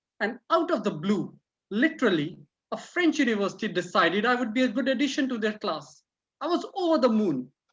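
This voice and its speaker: A woman with an Indian accent speaks at a fairly quick pace, somewhat breathy. Her pitch is fairly high and swings very widely. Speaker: club speaker. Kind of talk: prepared speech. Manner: halting.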